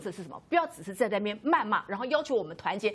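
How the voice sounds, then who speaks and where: A woman races along at a very fast pace, her pitch swinging very widely. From Taiwan. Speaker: legislator; talk show panelist. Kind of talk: TV political talk show panel. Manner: emphatic. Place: studio. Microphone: lapel.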